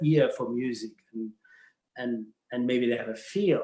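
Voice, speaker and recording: In a German accent, a man speaks with lively intonation. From Germany, Bavaria. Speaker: dance professional. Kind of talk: casual interview chat. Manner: halting, repeats words.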